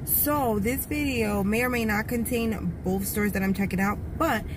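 A woman against noticeable background noise, the sound dry with no echo. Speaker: shopping vlogger. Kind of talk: casual vlog chat. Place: car. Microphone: phone near.

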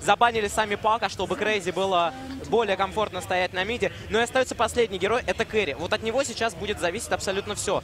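A man's high voice at a fairly quick pace, with ordinary pitch variation and music in the background. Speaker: esports commentator. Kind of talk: live commentary.

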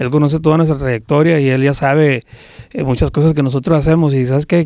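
A man with a fairly high pitch and a dark, mellow tone talks at a fairly quick pace with fairly even intonation, his sound dry with no echo over a quiet background. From Sinaloa, Mexico. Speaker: norteño band musician; interviewee. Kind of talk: interview. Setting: recording studio. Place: studio. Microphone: handheld.

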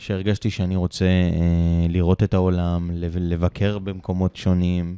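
The pace is fairly slow, and the tone is dark and mellow. The recording is very clean with a silent background, and the sound is dry and close with no echo. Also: man. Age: 30s. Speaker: travel company owner. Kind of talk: casual chat. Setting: studio, Ramat Gan.

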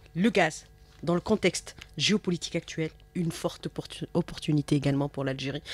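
A woman's very deep, low voice at a moderate pace, with fairly even intonation and a dry sound with no echo. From Algeria. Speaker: radio host. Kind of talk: radio interview. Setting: studio. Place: studio. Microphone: studio mic.

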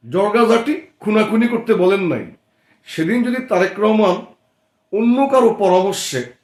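The voice belongs to a man and sits high in pitch. Its rise and fall stays ordinary. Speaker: political party activist and channel commentator. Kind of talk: political monologue. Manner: formal.

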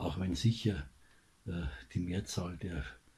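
Over light background noise, a man speaks in a Bavarian accent with a very deep, low pitch. His tone is dark and mellow, with vocal fry. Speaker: commentator. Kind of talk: political commentary monologue. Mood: indignant, critical.

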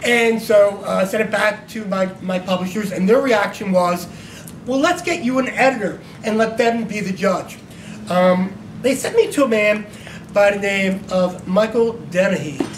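At a moderate pace, a man speaks with a high pitch for a man and ordinary pitch variation. Light noise runs in the background. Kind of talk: speech to an audience. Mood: animated, humorous storytelling. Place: hall. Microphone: camera far.

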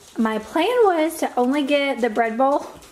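Over light background noise, a woman with a Southern US accent speaks at a fairly slow pace. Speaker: beauty vlogger. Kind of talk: casual vlog, get ready with me. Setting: home, filming on camera. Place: home room. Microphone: phone near.

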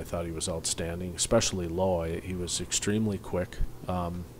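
A man's voice over light background noise. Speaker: hockey head coach. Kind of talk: interview answer. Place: hall. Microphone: podium.

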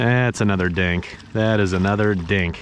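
A man speaks with an American accent. The sound is dry with no echo, over light background noise. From Kansas, US Midwest. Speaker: fishing youtuber. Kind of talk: outdoor fishing tutorial. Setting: outdoors on the water. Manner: animated. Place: waterside. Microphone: phone near.

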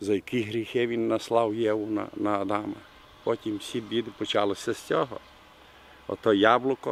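With a Bukovinian accent, a man speaks at a fairly low pitch and a fairly slow pace. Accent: Bukovinian village dialect. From Bukovina, Ukraine. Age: 70s. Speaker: retired history teacher, village craftsman. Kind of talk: interview answer. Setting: outdoors. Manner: humorous, colourful.

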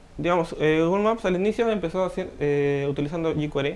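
Ordinary pitch variation from a man with a fairly high voice, moving at a moderate pace. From Trujillo, northern Peru. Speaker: software developer and student. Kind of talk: interview. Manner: hesitant, many fillers.

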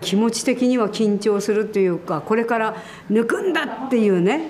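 Over noticeable background noise, a woman speaks at a moderate pace in a fairly high pitch. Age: 70s. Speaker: iaido master and instructor. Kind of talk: interview answer. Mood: calm, earnest, humble. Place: hall.

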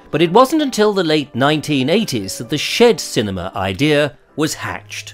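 Over music in the background, a man speaks at a moderate pace in a fairly high voice with very wide pitch swings. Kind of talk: news feature narration.

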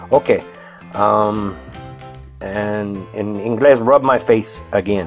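Music plays in the background as a man talks at a very slow pace. His fairly low pitch moves in very wide swings. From United States. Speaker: husband voicing his wife's makeup tutorial. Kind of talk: comedic makeup tutorial voiceover. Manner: hesitant, halting, improvised, humorous.

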